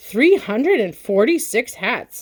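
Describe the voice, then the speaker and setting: A mumbled, put-on character voice at a fairly slow pace, with very wide pitch swings. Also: woman. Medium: read story. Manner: mumbling, tired.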